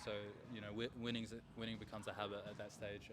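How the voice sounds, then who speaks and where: With an Australian accent, a man talks at a fairly quick pace in a fairly low pitch with monotone, flat intonation. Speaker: grappling athlete. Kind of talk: interview.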